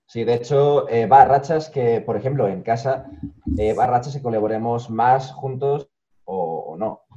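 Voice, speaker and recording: A man with a medium pitch speaks at a fairly slow pace in a dark, mellow tone. His voice is somewhat breathy, with ordinary pitch variation. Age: 30s. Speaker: youtuber. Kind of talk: interview.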